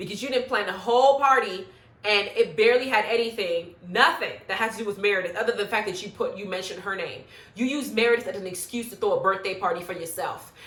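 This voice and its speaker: A woman at a very fast pace and fairly high pitch, animated in tone, with ordinary pitch variation, big swings in loudness and audible room echo. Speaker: YouTube reality TV commentator. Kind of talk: casual reality show recap monologue.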